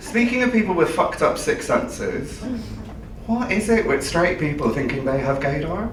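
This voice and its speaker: Amid noticeable background noise and audible room echo, a man speaks at a high pitch and moderate pace. His pitch swings very widely while his loudness stays very even. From Ireland. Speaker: comedian and compere. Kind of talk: stand-up. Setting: stage with audience.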